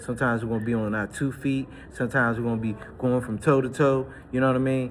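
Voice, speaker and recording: An energetic man with an American accent and medium pitch talks at a very fast pace over noticeable background noise. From Washington DC. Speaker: personal trainer. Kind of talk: casual workout vlog talk. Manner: casual, energetic.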